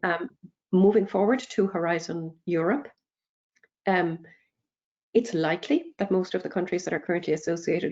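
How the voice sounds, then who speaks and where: A fairly low-pitched woman with an Irish accent, at a fairly quick pace with ordinary pitch variation. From Ireland. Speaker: EU research funding speaker. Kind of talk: webinar Q&A. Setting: online webinar.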